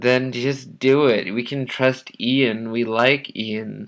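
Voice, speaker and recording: In a put-on character voice, a man talks very slowly at a medium pitch, raspy and flat in a monotone. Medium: read story.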